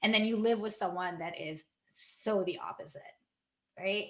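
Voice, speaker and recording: With audible room echo, the speaker keeps a moderate pace and ordinary pitch variation. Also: woman. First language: not English. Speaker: health coach and energy healer. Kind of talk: casual vlog talk. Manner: conversational, filler-heavy.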